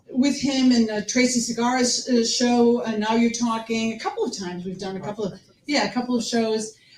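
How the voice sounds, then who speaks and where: Against noticeable background noise, a woman talks at a fairly high pitch and a fairly quick pace with hardly any pauses. Her intonation is fairly even. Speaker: show host. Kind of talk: host introduction. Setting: live stage with audience. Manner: whispering.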